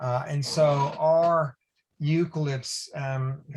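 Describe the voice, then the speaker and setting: This man's North American accent comes through a somewhat breathy voice with fairly even intonation. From US Northeast, Boston. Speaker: academic researcher. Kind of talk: webinar Q&A answer.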